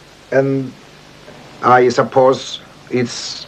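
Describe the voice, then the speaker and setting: Noticeable noise fills the background. Through it, a man is talking. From Cyprus, Liopetri near Famagusta. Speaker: poet. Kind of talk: documentary interview. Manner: halting.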